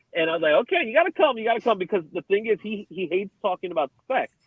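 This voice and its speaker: With a New York accent, a man speaks using lively intonation. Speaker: co-host of another podcast show. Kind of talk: casual chat.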